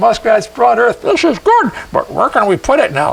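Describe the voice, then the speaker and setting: Over light background noise, a man puts on a character voice with an extremely high pitch. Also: moderate pace. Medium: stage play. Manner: soft, musing.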